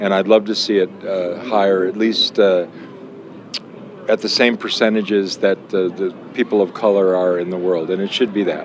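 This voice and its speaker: The man's voice is fairly low, his intonation fairly even and his speed moderate, with noticeable background noise behind him. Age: 70s. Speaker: board member and author. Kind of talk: casual interview. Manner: halting.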